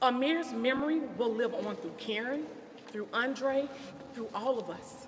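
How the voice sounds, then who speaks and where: With a Southern US accent, a woman speaks at a high pitch and a fairly slow pace with ordinary pitch variation, amid audible room echo and noticeable background noise. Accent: Southern US country. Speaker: family friend. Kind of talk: press conference statement. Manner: emphatic.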